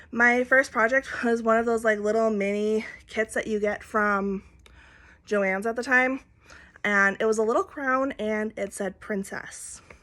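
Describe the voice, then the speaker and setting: A woman speaks with an Upper Midwest accent. Her voice is fairly high, with a bright, sharp tone. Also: fairly even intonation. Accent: Upper Midwest American. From Minnesota. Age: 20s. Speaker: cross-stitch vlogger. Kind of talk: casual chat. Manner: halting.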